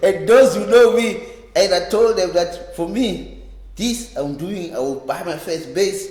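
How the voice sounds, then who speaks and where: Amid noticeable background noise and audible room echo, a man speaks fairly slowly in a high voice, his loudness swinging widely. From South Africa, Cape Town townships. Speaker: reggae bass player. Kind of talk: oral history interview. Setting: library. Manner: halting, with repetitions.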